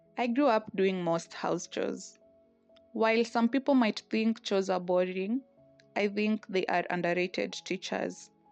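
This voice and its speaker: A woman at medium pitch with ordinary pitch variation, fairly slow, music in the background. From Kenya, Tala. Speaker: storyteller vlogger. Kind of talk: personal narration. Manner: reflective.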